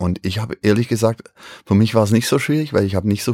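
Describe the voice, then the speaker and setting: A man speaks in a normal speaking voice, fairly low in pitch and at a fairly quick pace. The recording is very clean, with a silent background and a dry, close sound with no echo. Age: 50s. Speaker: rock drummer. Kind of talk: casual chat.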